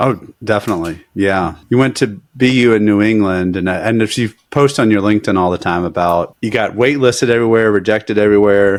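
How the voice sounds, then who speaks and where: A man's plain, everyday voice, fairly low in pitch, with an American accent, fairly quick pace, hardly any pauses, and ordinary pitch variation. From Alabama, US South. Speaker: lawyer and podcast host. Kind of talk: podcast interview.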